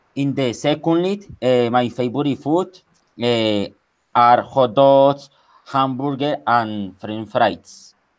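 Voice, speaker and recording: The speaker is a man with a medium pitch. He talks at a very slow pace. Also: ordinary pitch variation. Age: 20s. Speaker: English student. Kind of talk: oral exam presentation. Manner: halting.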